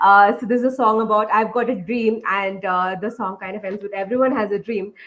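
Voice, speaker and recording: Fairly high-pitched woman's voice at a fairly quick pace, with fairly even intonation. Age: 20s. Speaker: software engineer, invited speaker. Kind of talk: talk with slides for students. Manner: fast; frequent fillers (uh, um).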